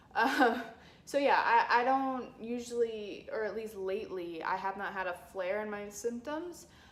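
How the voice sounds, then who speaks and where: A woman talks fairly slowly at a fairly high pitch with ordinary pitch variation. Audible room echo surrounds her voice. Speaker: chronic illness vlogger. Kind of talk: personal vlog. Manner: halting, many fillers.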